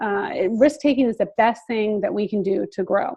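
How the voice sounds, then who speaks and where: A woman with an American accent, fairly high in pitch, with lively intonation. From Philadelphia area, US. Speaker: seminar presenter, life coach. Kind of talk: online seminar talk. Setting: video call. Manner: fast; hesitant, filler-heavy.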